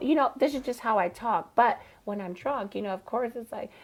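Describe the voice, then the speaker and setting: Speaking at a fairly quick pace, a woman uses lively intonation in an ordinary speaking voice. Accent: American. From Chicago. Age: 30s. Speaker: drag queen. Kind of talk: casual chat.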